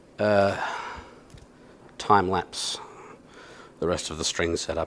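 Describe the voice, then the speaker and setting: This man speaks with an Australian accent. His pace is very slow. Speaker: YouTuber and bass guitarist. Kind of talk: casual chat while working on a guitar. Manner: relaxed, chatty.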